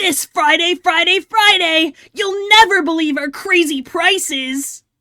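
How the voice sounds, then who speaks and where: Extremely high pitch in a put-on character voice, at a fairly slow pace. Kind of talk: over-the-top sales announcement. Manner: excited, announcing.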